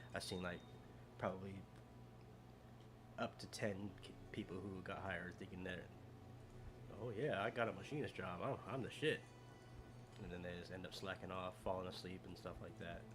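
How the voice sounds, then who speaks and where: A man's very deep, low voice at a moderate pace, with ordinary pitch variation, long and frequent pauses, audible room echo and music in the background. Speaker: gaming streamer. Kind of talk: casual live stream chat. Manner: quiet, low volume. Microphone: too quiet, moving mic closer.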